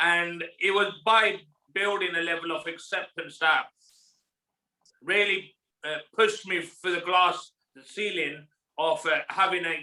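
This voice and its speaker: Pausing long and often, a man with a high pitch speaks at a fairly slow pace with fairly even intonation. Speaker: person who stutters. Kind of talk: podcast interview. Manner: stutters.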